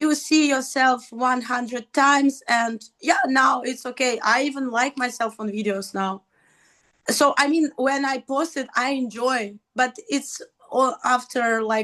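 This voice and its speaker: Speaking at a fairly slow pace, a woman uses a high pitch, ordinary pitch variation, and a bright, sharp tone. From Russia. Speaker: stand-up comedian. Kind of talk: casual chat.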